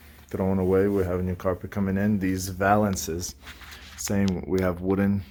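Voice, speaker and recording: A man with a very deep, low voice speaks at a moderate pace in a flat monotone, with noticeable background noise. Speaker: renovation contractor giving a site tour. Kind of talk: casual walkthrough video. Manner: quiet, keeping voice down.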